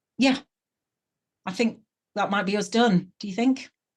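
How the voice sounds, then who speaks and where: Against a quiet background, the speaker talks with a northern English accent. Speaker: podcast host. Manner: casual, chatty, many filler sounds.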